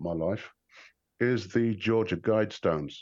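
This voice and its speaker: A man speaks fairly slowly in a normal speaking voice with ordinary pitch variation. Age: 50s. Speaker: online channel creator. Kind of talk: casual chat.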